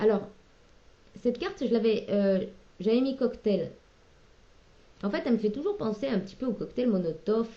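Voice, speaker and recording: A woman's fairly high, dark and mellow voice with ordinary pitch variation, moderate pace and long, frequent pauses. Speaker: tarot card reader. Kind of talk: tarot reading. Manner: hesitant; loud at moments.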